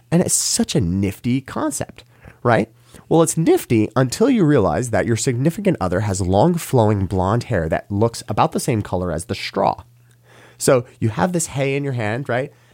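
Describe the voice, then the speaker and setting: Using very wide pitch swings, a man with an American accent speaks at a moderate pace. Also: medium pitch for a man, dry, close sound with no echo. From New York. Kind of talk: interview storytelling. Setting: studio.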